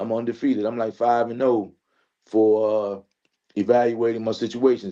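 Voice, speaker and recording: At a moderate pace, a man with a medium pitch and a dark, mellow tone speaks in a flat, monotone way. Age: 60s. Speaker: panelist. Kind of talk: panel discussion.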